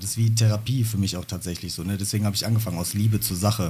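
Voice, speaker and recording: Speaking at a very fast pace, a man uses a fairly low voice with fairly even intonation. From Germany, Bottrop. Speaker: rapper. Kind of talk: interview.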